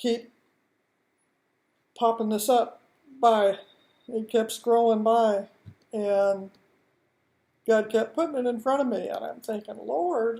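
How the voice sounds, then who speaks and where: A woman's fairly high, dark, mellow voice at a very slow pace, with long, frequent pauses and ordinary pitch variation. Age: 60s. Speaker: home business starter. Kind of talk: casual personal introduction video. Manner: informal, chatty; a little uncomfortable on camera.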